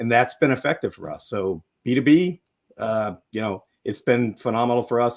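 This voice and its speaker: This man has a plain, everyday voice and keeps a moderate tempo. He sits at a medium pitch that varies in an ordinary way. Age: 50s. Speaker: legal tech business leader. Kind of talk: live panel discussion. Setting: live video stream.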